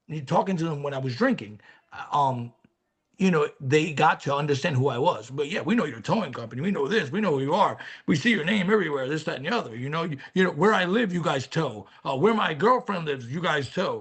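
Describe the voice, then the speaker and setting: Fairly quick and somewhat breathy, a man with a New York accent talks in a fairly high pitch with lively intonation. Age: 50s. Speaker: recovering alcoholic, former business owner. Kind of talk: interview testimony.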